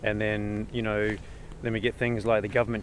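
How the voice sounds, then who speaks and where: With an Australian accent, a man talks at a fairly quick pace and fairly low pitch, his intonation fairly even. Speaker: vlogger. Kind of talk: casual rant. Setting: outdoors in the bush. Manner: hesitant, repetitive.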